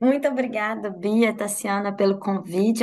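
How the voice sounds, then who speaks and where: A woman with a Minas Gerais accent, fairly high in pitch, at a moderate pace with fairly even intonation. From Brazil, Minas Gerais. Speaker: sports health researcher, former athlete. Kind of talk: podcast interview.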